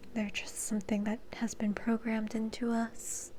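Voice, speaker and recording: Over noticeable background noise, a soft-spoken woman talks at a fairly high pitch. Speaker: reiki and energy healing practitioner. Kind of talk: ASMR energy healing session.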